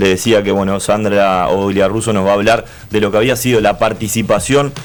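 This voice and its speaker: There is noticeable background noise behind a man speaking. His fairly low pitch shows ordinary variation. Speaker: radio sports host. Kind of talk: radio sports show hosting.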